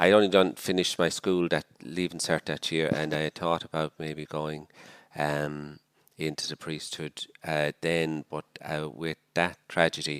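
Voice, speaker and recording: A man's very deep, low voice in a Dublin accent, at a fairly slow pace. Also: dry, close sound with no echo. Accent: Irish, Dublin. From Ireland, Dublin. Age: 60s. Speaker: missionary priest. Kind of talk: podcast interview. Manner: hesitant, with many fillers.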